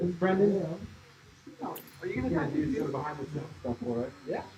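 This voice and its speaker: At a moderate pace with long, frequent pauses, a man speaks in a fairly high pitch with very wide swings, amid noticeable background noise and audible room echo. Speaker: content creator live streaming. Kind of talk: casual livestream chat. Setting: tattoo shop.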